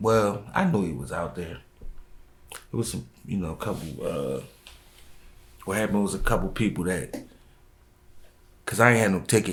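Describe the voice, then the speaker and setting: At a moderate pace, a man speaks with a fairly low pitch, vocal fry and lively intonation. He leaves long, frequent pauses. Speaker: rapper. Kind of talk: interview.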